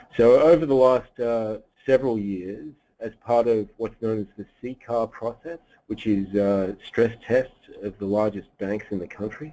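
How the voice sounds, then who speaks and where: A man in an Australian accent speaks at a fairly slow pace and medium pitch, with ordinary pitch variation and big swings in loudness. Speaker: economist. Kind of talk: webinar presentation. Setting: webinar. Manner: hesitant, many fillers.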